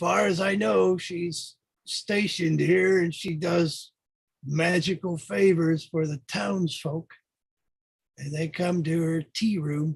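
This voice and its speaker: A man puts on a character voice, pitched high. He delivers it at a fairly slow pace. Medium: actual play. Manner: guarded, evasive.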